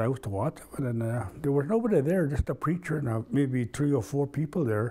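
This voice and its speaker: A man speaks at a fairly quick pace with lively intonation in a somewhat breathy voice with a dark, mellow tone. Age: 60s. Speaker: community elder. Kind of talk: oral history interview. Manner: halting.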